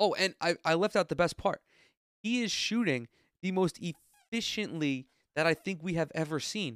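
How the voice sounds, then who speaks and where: Recorded very cleanly with a silent background and a dry, close sound with no echo, a man with an American accent and a high pitch speaks at a moderate pace in an animated tone, leaving long, frequent pauses. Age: 20s. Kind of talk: solo casual commentary.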